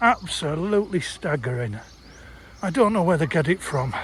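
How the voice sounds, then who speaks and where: An English accent at a moderate pace with ordinary pitch variation, over noticeable background noise. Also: man. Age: 60s. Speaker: travel vlogger. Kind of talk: vlog. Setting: outdoors.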